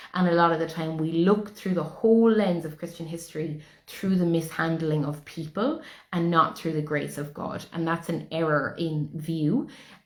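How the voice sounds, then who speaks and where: In an Irish accent, a woman talks at a moderate pace with a fairly low pitch. Room echo is audible. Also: fairly even intonation. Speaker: spiritual teacher. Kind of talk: spiritual talk.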